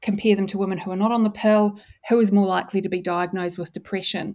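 A woman with a New Zealand accent speaks at a fairly quick pace. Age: 40s. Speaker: neuroscientist and author. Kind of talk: interview.

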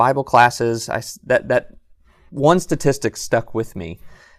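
Recorded very cleanly against a silent background, an unremarkable speaking voice with an American accent moves at a moderate pace with lively intonation. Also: man. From Southern California. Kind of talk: podcast interview. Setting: live in a bookstore.

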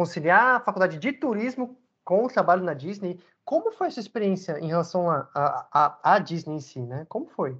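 Against a quiet background, the words come at a moderate speed. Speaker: podcast host. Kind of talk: casual interview.

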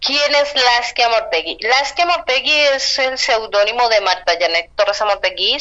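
Over noticeable background noise, a woman speaks at a fairly slow pace with lively intonation. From Colombia. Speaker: writer. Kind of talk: interview.

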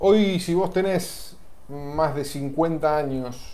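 The tone is dark and mellow. Room echo is audible. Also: man. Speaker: talk show host. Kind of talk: casual chat.

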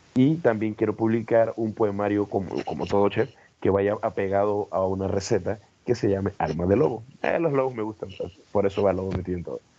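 A man speaks at a fairly quick pace with a fairly low pitch. His tone is dark and mellow. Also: ordinary pitch variation. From Panama City. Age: 30s. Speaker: poet and chef. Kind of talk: interview.

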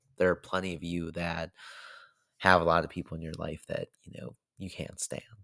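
A man with an American accent and a very deep, low pitch, his intonation fairly even, in a very clean recording with a silent background and a dry, close sound with no echo. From DMV area (Maryland/DC). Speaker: podcaster. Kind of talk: personal monologue. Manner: casual, repetitive filler.

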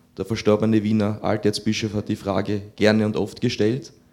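Flat, monotone intonation runs through talking held at a moderate pace. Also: man. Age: 20s. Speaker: seminarian, audience member. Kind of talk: audience question.

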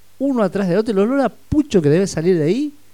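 A man talks fairly quickly in a dark, mellow tone. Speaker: radio host. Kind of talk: casual chat.

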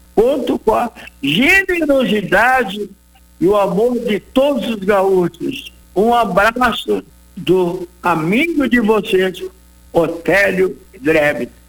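At a very slow pace, a man with a high voice speaks with lively intonation. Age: 80s+. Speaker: retired businessman and campaign founder. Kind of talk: radio interview; appeal to listeners.

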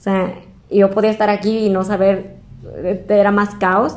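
A woman with a Mexican accent speaks at a medium pitch and a moderate pace. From Mexico, Zamora, Michoacán. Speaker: fashion designer and entrepreneur. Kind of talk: casual interview chat.

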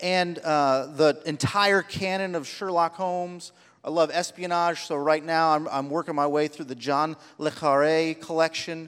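A man with a normal speaking voice talks at a moderate pace, his pitch fairly high and his intonation fairly even. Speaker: church preacher. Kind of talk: sermon.

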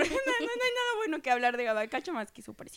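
A woman speaks in a raised, projected voice at a moderate pace. Her pitch is high and her tone is bright and sharp. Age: 20s. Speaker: podcast co-host, office worker in finance. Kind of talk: casual chat.

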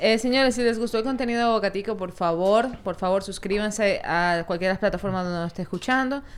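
Here a woman with a plain, everyday voice, medium in pitch with ordinary pitch variation, speaks at a fairly quick pace with hardly any pauses, in a very clean recording with a silent background. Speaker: podcast host. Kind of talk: casual chat.

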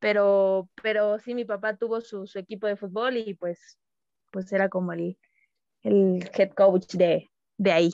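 Pitched at a medium level, a woman speaks in a monotone, flat way at a fairly slow pace. The sound is dry and close, with no echo. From Mexico, Tabasco. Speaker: professional footballer. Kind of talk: casual interview. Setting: call.

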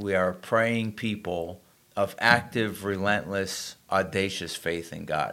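This man has a plain, everyday voice with a fairly low pitch and ordinary pitch variation. He speaks at a fairly slow pace. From Springfield, Massachusetts. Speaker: pastor. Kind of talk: casual chat.

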